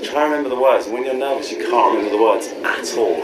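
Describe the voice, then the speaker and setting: A man is speaking over loud background noise. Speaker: comedian before a show. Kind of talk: interview answer. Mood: playful, laughing, self-mocking. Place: hall.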